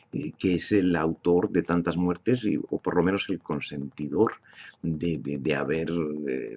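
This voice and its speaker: Speaking at a fairly slow pace, a man with a very deep, low voice shows vocal fry and ordinary pitch variation. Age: 70s. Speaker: political commentator. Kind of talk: monologue. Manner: halting.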